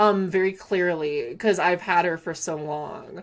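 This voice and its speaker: A woman with a Southern Californian accent, medium-pitched and animated, at a fairly slow pace, on a very clean recording with a silent background. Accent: Valley Girl. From California, Antelope Valley. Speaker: gaming streamer. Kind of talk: casual live-stream chat.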